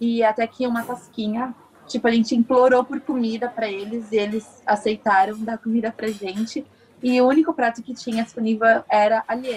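A woman with an unremarkable speaking voice, fairly high in pitch, at a moderate pace, with fairly even intonation. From Brazil, Santos (São Paulo). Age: 20s. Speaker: architecture student. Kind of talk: interview.

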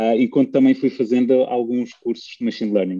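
A man at a fairly quick pace, the sound dry and close with no echo. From Russia. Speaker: PhD student and data competition co-founder. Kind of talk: interview. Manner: halting.

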